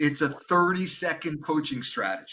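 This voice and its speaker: This man speaks in a normal speaking voice with an American accent, pitched fairly high and delivered at a fairly slow pace. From New York. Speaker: sales coach. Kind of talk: live Q&A workshop talk.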